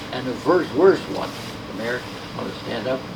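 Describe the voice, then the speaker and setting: Through noticeable background noise and audible room echo, a man speaks at a medium pitch with ordinary pitch variation. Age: 80s+. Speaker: martial arts grandmaster. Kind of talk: seminar talk. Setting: seminar with audience. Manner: halting.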